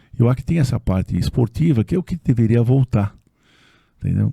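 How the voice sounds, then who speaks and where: Dark, mellow tone from a somewhat breathy man at a moderate pace, dry and close with no echo. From São Paulo, Zona Norte. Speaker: construction company executive. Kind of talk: casual interview chat.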